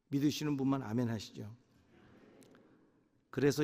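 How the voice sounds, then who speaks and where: Delivered at a moderate pace with fairly even intonation, the speech carries an audible room echo. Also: man. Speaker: pastor. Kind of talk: sermon.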